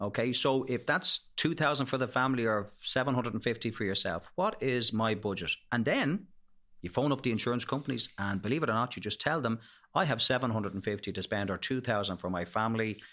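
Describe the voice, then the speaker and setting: A man's medium-pitched voice in an Irish accent, very fast, with ordinary pitch variation, on a very clean recording with a silent background. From Ireland, Leinster. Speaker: health insurance expert. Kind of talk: podcast interview.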